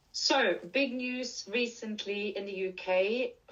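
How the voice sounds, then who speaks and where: In a Norwegian accent, a woman speaks with ordinary pitch variation. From Norway. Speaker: leadership and menopause coach. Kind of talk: conference presentation.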